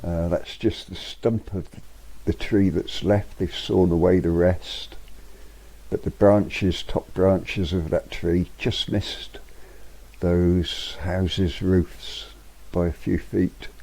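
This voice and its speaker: A man with a Yorkshire accent, relaxed in tone, at a very slow pace. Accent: Yorkshire (Hull) English. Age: 70s. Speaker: vlogger. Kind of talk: casual narration. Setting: outdoors. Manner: relaxed, hesitant.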